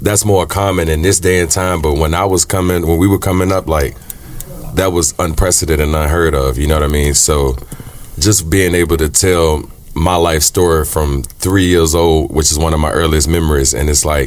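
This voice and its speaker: With noticeable background noise, a man with a very deep, low pitch speaks at a moderate pace, his intonation fairly even and his loudness very even. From Richmond, Virginia, US South. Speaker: singer-songwriter. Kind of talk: interview. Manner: casual, filler-heavy.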